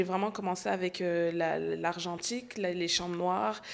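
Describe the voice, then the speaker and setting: In a normal speaking voice, a woman talks at a fairly slow pace with fairly low pitch and ordinary pitch variation. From Montreal, Quebec. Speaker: emerging artist. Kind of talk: interview.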